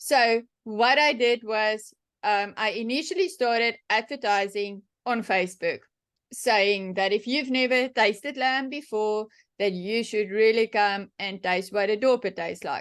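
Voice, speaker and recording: A woman with a South African accent speaks at a fairly slow pace with ordinary pitch variation against a quiet background. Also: fairly high pitch for a woman. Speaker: sheep and cattle farmer. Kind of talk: workshop talk, Q&A answer. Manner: casual, many fillers and restarts.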